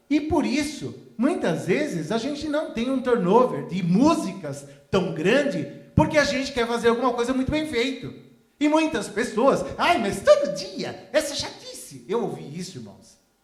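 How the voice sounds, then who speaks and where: An extremely high-pitched man's voice, fairly slow, with very wide pitch swings and audible room echo. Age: 60s. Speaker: pastor. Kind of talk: sermon. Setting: church. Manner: halting.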